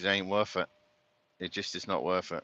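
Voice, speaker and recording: A man with an English accent speaks in a very deep, low voice with a bright, sharp tone and monotone, flat intonation. The sound is dry and close with no echo against a quiet background. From Britain. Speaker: truck driver. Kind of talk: live stream chat while driving. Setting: in a truck cab. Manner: casual, rambling.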